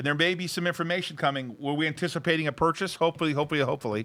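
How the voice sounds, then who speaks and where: On a very clean recording with a silent background, a man speaks in an animated, bright, sharp tone at a fairly high pitch with ordinary pitch variation. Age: 50s. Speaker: stock market show host and investor. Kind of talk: casual chat. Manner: fast.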